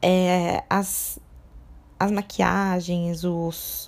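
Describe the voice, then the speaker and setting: A woman is speaking. The background is silent and the recording very clean. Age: 20s. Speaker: podcast host on fashion. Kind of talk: solo podcast monologue. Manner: casual, with frequent filler hesitations.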